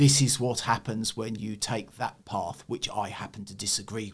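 With a southern English accent, a man speaks at medium pitch. His pitch varies in an ordinary way. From eastern England. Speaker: church historian. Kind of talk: interview.

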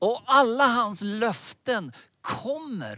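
Captured in a very clean recording with a silent background and a dry, close sound with no echo, a man speaks in a raised, projected voice. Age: old. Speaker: preacher. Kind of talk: sermon. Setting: digital conference broadcast.

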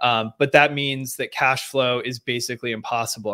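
A man speaks at a moderate pace and medium pitch in a monotone, flat intonation, his tone bright and sharp, in a dry, close sound with no echo on a very clean recording with a silent background. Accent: American. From Seattle, Washington, US Pacific Northwest. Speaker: real estate agent and former Olympic rower. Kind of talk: interview.

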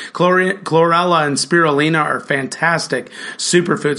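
Over noticeable background noise, a man speaks with fairly even intonation at a fairly high pitch for a man. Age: 40s. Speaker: physician assistant and podcast co-host. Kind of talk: casual health podcast chat.

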